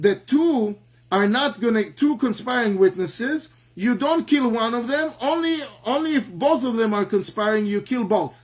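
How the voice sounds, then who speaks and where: With an Israeli accent, this speaker talks at a moderate pace with lively intonation. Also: man. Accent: Hebrew. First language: Hebrew. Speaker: Talmud teacher. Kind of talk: lecture. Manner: halting, many fillers and repetitions.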